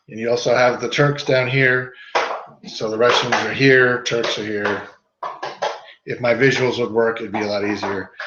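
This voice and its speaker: With audible room echo, a man at medium pitch speaks in fairly even intonation, leaving long, frequent pauses. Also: moderate pace. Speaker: history teacher. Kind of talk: lecture.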